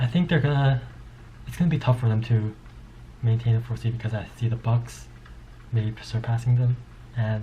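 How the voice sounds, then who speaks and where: A man's medium-pitched voice, somewhat breathy, with a dark, mellow tone. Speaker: sports commentator. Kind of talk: casual monologue. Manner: fast; animated.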